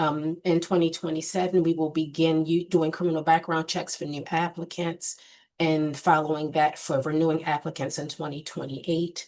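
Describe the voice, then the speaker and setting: A woman speaks at a moderate pace in a fairly low pitch with monotone, flat intonation. The background is quiet. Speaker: state board executive presenting to commission. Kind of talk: formal report to committee. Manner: many filler ums.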